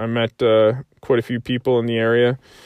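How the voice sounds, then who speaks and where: At a medium pitch, a man talks in a monotone, flat intonation. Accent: Canadian Maritime. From Prince Edward Island, Canada. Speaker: podcast host, soldier and hunter. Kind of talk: solo monologue podcast. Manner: halting, many fillers.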